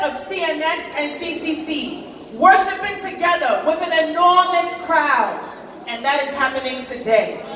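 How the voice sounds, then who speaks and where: With audible room echo and light background noise, a woman speaks at a fairly slow pace in an extremely high pitch, showing ordinary pitch variation. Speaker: event host giving thanks. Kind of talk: stage announcement. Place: hall.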